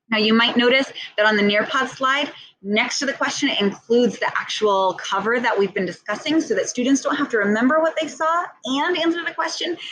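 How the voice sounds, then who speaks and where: A woman with a high pitch and lively intonation at a fairly quick pace, with noticeable background noise. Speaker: ESL teacher trainer. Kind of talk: tutorial. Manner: fast.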